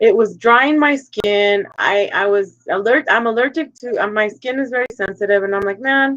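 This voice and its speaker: With a Spanish accent, a woman speaks in a fairly high pitch with hardly any pauses. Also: ordinary pitch variation, moderate pace. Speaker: live stream co-host. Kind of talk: casual chat.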